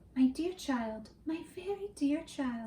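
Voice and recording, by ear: In a put-on character voice, a woman speaks high and fairly slowly with a hissing sound.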